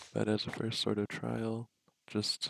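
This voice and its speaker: A soft-spoken man talks at a fairly low pitch with fairly even intonation. The sound is dry and close, with no echo. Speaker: vlogger. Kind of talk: casual monologue. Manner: hesitant, many fillers. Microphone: poor audio quality.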